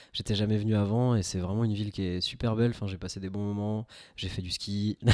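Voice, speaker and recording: A man speaks very fast in a fairly low, monotone voice with flat intonation, on a very clean recording with a silent background. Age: 20s. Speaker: amateur film photographer, web developer. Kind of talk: casual podcast conversation. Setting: home podcast setup.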